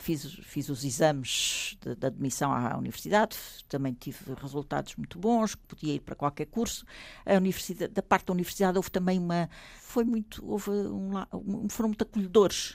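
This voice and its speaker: Lively in intonation, a woman speaks at a moderate pace in a fairly low voice. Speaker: author and former lecturer. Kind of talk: interview. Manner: halting.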